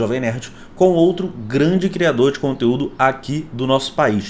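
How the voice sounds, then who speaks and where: Over background music, a man with a fairly high pitch speaks at a fairly slow pace in an animated tone. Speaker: YouTuber. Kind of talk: casual vlog commentary.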